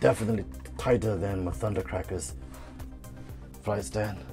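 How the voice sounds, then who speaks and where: With music in the background, a man speaks using very wide pitch swings. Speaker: toy reviewer. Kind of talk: casual product review to camera.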